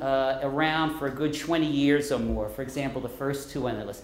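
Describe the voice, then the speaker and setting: There is audible room echo and noticeable background noise as a man talks with a New York accent. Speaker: professor. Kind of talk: lecture.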